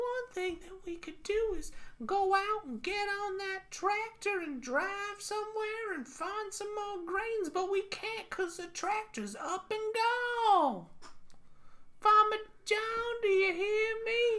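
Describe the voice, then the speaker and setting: In a put-on character voice, a woman speaks at a fairly slow pace with an extremely high pitch. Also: ordinary pitch variation. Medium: solo performance. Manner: folksy, fretful.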